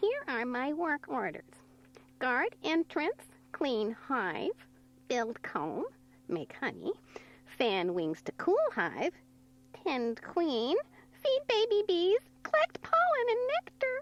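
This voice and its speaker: A high-pitched, put-on character voice at a very slow pace, full of long, frequent pauses. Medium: read story.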